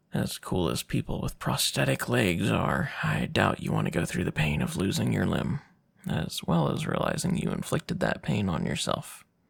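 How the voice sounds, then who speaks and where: A put-on character voice, raspy and very deep and low in pitch, at a moderate pace. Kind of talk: audio roleplay. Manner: caring, teasing, flirty.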